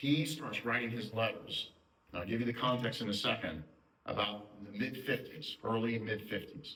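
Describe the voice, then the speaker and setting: There is audible room echo and noticeable background noise as a man speaks at a moderate pace and medium pitch. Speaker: adult education lecturer. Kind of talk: lecture.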